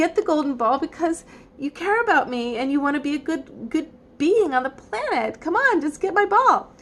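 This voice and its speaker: This is a put-on character voice with a whiny tone. The delivery moves at a moderate pace. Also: woman, high pitch for a woman. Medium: read story. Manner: whiny, petulant.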